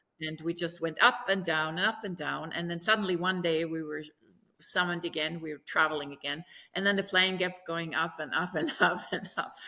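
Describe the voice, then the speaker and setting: A woman's bright, sharp tone at fairly low pitch, with ordinary pitch variation and a fairly quick pace, in a very clean recording with a silent background. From Germany. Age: 60s. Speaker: author and opera singer. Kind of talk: interview storytelling. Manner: animated.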